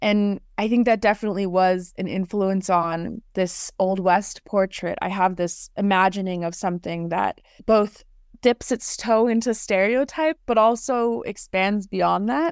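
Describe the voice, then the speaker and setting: A woman in a normal speaking voice with an American accent, medium in pitch with ordinary variation, at a fairly slow pace, in a dry, close sound with no echo on a very clean recording with a silent background. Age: 20s. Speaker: poet. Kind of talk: casual chat.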